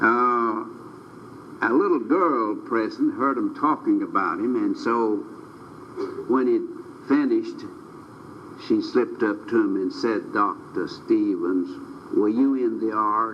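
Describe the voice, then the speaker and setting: Speaking at a very slow pace, a man leaves long, frequent pauses, and room echo can be heard around his voice. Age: 80s+. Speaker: preacher. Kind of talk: sermon.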